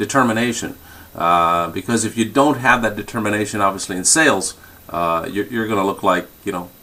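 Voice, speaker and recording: A man's fairly low-pitched voice with a bright, sharp tone. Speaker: sales trainer. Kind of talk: sales training talk on a conference call. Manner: fast.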